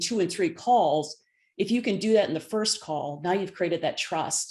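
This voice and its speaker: Against a quiet background, a woman talks at a moderate pace. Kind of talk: professional.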